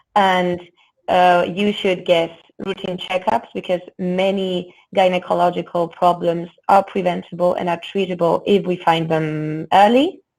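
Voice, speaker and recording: A woman with a Spanish accent speaks at a fairly slow pace and medium pitch. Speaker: gynecologist. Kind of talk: interview. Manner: hesitant, many fillers.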